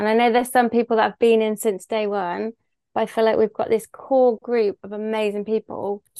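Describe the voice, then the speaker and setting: A woman talks in a Bristol accent at a fairly high pitch. The sound is dry and close, with no echo. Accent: Bristol West Country English. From Bristol, England. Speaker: business owner. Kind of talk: casual interview chat.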